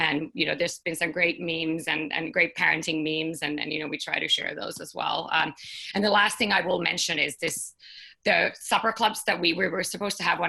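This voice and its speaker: A woman with a Finnish accent has a bright, sharp tone, a fairly low pitch and fairly even intonation. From Finland. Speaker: startup co-founder. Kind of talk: panel discussion.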